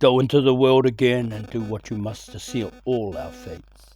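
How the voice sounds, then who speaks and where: A man uses a put-on character voice with a hissing sound at a fairly slow pace. Music plays in the background. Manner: grave, bitter.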